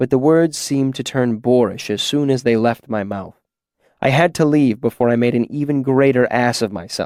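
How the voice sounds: Against a quiet background comes a natural reading voice.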